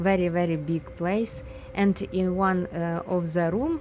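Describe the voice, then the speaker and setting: A very slow delivery in a Ukrainian accent over light background noise. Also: woman. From Ukraine. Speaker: urban explorer vlogger. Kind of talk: travel vlog narration. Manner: halting, many fillers. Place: factory. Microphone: phone near.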